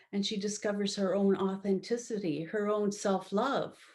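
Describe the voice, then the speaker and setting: Over a quiet background, a woman speaks at a fairly slow pace. Her pitch sits in the medium range. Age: 60s. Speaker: love relationship coach and author. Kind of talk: interview. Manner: halting.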